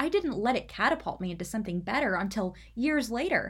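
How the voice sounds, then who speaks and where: A woman speaks with lively intonation and a somewhat breathy voice on a very clean recording with a silent background. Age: 20s. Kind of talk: solo faith talk podcast.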